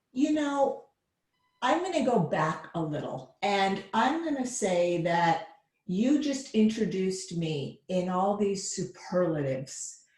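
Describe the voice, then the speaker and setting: A woman talks very slowly at medium pitch with very wide pitch swings, and room echo is audible. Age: 50s. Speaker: therapist. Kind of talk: casual chat.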